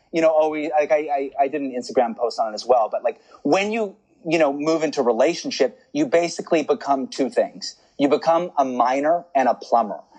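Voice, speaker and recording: At a fairly quick pace, a man speaks with a fairly high pitch and lively intonation. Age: 30s. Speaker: relationship coach. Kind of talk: casual chat. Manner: animated.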